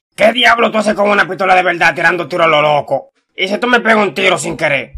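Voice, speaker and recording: In a raised, projected, cartoonish character voice, a man talks at a very fast pace and a high pitch, with ordinary pitch variation. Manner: scolding, exasperated, repetitive.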